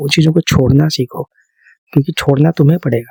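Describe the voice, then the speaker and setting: A man speaks with a fairly high pitch and a somewhat breathy voice, his intonation fairly even. The sound is dry and close, with no echo. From India. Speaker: ASMR creator. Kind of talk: ASMR girlfriend-style sleep talk. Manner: soft, calming, conversational.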